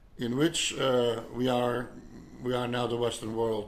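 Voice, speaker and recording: A man speaks at a fairly slow pace, with audible room echo. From Belgium (Flemish). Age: 70s. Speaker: artist and naturalist. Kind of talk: personal video monologue. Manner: halting, many fillers and repetitions.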